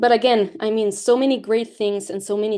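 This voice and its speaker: A woman with a Latin American accent, dark and mellow in tone, at a fairly quick pace. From Latin America (Mexico, Peru, Spain). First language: Spanish. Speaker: guest speaker, activist. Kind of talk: presentation to school classes. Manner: halting, with false starts.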